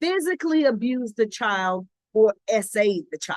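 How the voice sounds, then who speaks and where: A woman's unremarkable speaking voice, fairly high in pitch, at a fairly slow pace, with a dry, close sound and no echo. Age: 60s. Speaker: pastor. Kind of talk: informal sermon talk. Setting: outdoors on her patio. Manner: conversational, with fillers and restarts.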